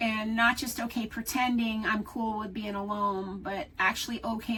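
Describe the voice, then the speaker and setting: The speaker moves at a moderate pace with fairly even intonation while noticeable background noise runs underneath. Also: woman. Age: 60s. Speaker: solo-living video creator. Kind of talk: personal vlog talk. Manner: reflective, conversational.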